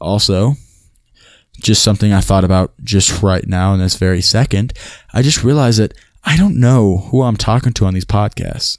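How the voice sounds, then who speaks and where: A man talks at a moderate pace in a fairly low pitch. His is a plain, everyday voice with ordinary pitch variation. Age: 20s. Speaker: solo podcaster. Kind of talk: casual monologue. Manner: rambling with many fillers.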